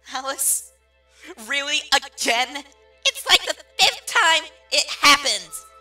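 A cartoonish character voice, bright and sharp in tone, with big pitch swings at a slow pace over faint music in the background

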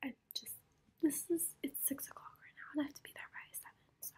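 At a moderate pace, the woman is whispering. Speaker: college student vlogger. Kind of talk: casual vlog chat. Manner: soft close ASMR storytelling voice. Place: home room. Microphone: phone near.

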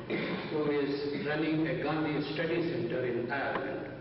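The recording has strong room echo and noticeable background noise. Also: man. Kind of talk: formal announcements. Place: hall. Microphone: camera far.

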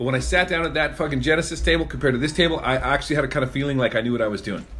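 Over noticeable background noise, a man speaks very fast in a fairly high voice with ordinary pitch variation. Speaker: podcast host, guest. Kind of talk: casual chat.

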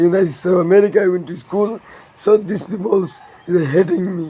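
A man speaks at a moderate pace in a high voice with a dark, mellow tone, a slightly husky edge and ordinary pitch variation.

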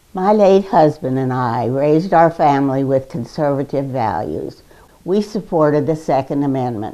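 Dark and mellow in tone, a woman speaks at a moderate pace with a very deep, low pitch. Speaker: grandmother of a political candidate. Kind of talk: political TV commercial testimonial. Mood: calm, earnest. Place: home room. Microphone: lapel.

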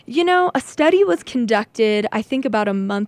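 Speaking at a fairly slow pace with lively intonation, a woman is heard in a dry sound with no echo. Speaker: college radio DJ. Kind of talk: radio DJ chatting between songs. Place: studio.

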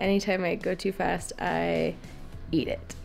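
Faint background music behind a woman speaking. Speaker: travel vlogger. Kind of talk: casual vlog chat. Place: home room. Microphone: phone near.

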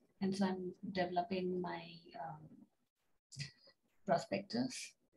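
Soft-spoken and somewhat breathy, a woman talks with a dark, mellow tone and ordinary pitch variation. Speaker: PhD student. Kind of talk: self-introduction in online workshop. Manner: halting. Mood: friendly, slightly self-deprecating. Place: home room. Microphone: video call.

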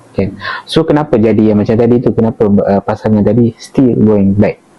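A man speaks at a moderate pace in a medium pitch, with ordinary pitch variation. Noticeable background noise can be heard. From Malaysia, Perak. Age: 20s. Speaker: counselling officer. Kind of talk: casual interview.

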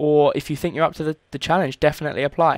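The man talks at a very fast pace with fairly even intonation. The recording is very clean with a silent background, and the sound is dry and close with no echo. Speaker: tutorial presenter. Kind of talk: screen-recorded software tutorial. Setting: recording at home, screen capture voiceover. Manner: casual, filler-heavy, slightly halting.

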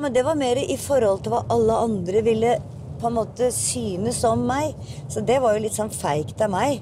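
A woman talks at a moderate pace. Behind her, background noise is noticeable. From Toten, Norway. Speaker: singer and musical performer. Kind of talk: interview answer. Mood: reflective, a bit self-critical. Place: car.

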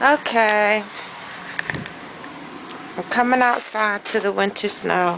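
A woman with a Southern US accent speaks with ordinary pitch variation over noticeable background noise. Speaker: grandmother. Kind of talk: casual home video talk. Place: street. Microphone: phone near.

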